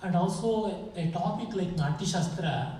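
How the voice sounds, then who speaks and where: A man with an Indian accent speaks at a high pitch. Audible room echo and noticeable background noise surround him. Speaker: scholar and lecturer. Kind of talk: lecture.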